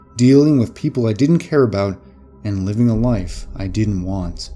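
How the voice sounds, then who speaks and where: Here is a man with a normal speaking voice at a medium pitch. He talks at a moderate pace with lively intonation. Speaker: narrator. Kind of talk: horror story narration.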